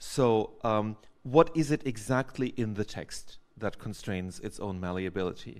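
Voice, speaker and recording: Against a quiet background, a plain, everyday voice speaks with ordinary pitch variation. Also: man, fairly low pitch for a man. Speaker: audience member, sociologist; audience member. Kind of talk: academic Q&A. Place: hall.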